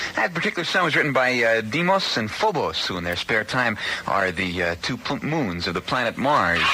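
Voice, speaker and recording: A man with an American accent talks at a medium pitch, swinging very widely in pitch. Noticeable background noise is heard. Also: fairly quick pace. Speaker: radio disc jockey. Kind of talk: late-night radio DJ talk.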